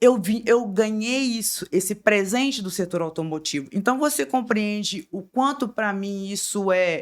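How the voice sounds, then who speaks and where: In a Minas Gerais accent, a woman speaks with ordinary pitch variation on a very clean recording with a silent background. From Minas Gerais, Brazil. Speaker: lawyer and business consultant. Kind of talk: podcast interview.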